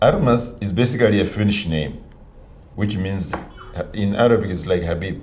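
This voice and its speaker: Over noticeable background noise and audible room echo, a man with a fairly low pitch and ordinary pitch variation speaks at a moderate pace, with long, frequent pauses. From northern Namibia. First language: Namibian local language. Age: 50s. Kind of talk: interview.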